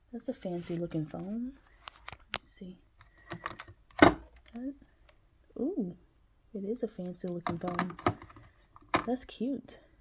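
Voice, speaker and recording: Very slow speech in an American accent with lively intonation, long, frequent pauses and noticeable background noise. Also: woman, medium pitch for a woman. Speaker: travel vlogger. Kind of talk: vlog room tour. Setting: hotel room. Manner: loud; animated.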